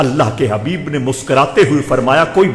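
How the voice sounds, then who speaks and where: A man's pitch swings very widely as he talks. Noticeable background noise runs underneath. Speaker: Islamic scholar giving a Friday sermon. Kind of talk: religious sermon (khutba).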